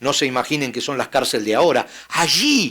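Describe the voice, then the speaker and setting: With a bright, sharp tone, a man speaks at a moderate pace. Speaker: pastor. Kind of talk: sermon.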